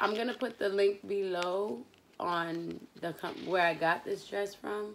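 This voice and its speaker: A woman at a fairly slow pace, with ordinary pitch variation and light background noise. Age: 20s. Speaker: YouTuber doing product review. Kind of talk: casual vlog review. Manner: animated. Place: home room. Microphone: phone near.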